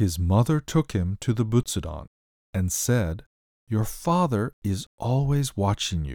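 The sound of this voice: Over a quiet background, the intonation turns lively in an unforced reading voice.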